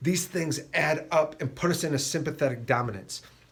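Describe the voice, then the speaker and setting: At a fairly quick pace, a man speaks in a somewhat breathy voice with fairly even intonation. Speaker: chiropractor. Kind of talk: health talk to camera. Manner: fast.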